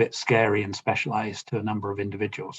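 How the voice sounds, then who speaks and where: A man with a British accent speaks at a medium pitch and a fairly quick pace. His voice is somewhat breathy. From United Kingdom. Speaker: asset management engineer presenting. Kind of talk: conference webinar presentation. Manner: casual with fillers.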